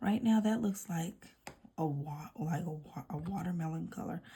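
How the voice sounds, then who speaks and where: In a raspy, put-on character voice, a woman speaks fairly low in pitch at a moderate pace. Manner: stuttering on words, casual.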